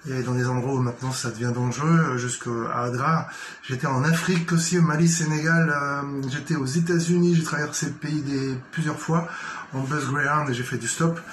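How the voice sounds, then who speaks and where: A man with a fairly high pitch speaks at a moderate pace with fairly even intonation. Audible room echo and noticeable background noise surround him. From Paris region, Seine-Saint-Denis. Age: 50s. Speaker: writer and journalist. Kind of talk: self-presentation monologue. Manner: hesitant, many fillers.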